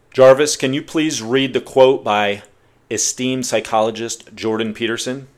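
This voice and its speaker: At a moderate pace, a man talks at medium pitch with fairly even intonation. He has an ordinary speaking voice. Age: 40s. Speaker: podcast host. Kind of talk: solo podcast monologue.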